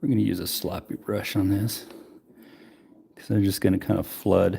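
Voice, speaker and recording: A man speaks at a moderate pace. He mumbles his words. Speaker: miniature painter streamer. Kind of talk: live painting tutorial. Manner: mumbling; hums while working.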